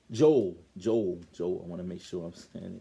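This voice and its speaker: A man with an American accent talks at a moderate pace. His tone is dark and mellow, and his pitch varies in an ordinary way. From Baltimore, Maryland. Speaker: bible teacher. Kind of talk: bible lesson. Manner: halting, self-correcting.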